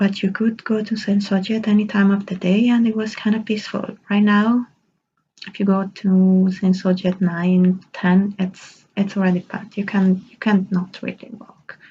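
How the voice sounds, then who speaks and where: A woman speaks at a medium pitch, somewhat breathy, with big swings in loudness. Her intonation stays monotone and flat. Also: moderate pace. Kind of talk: casual vlog talk. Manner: mumbling, stumbling; stumbles over words due to aligners.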